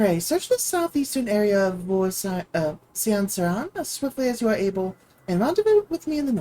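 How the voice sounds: A reading voice, natural in tone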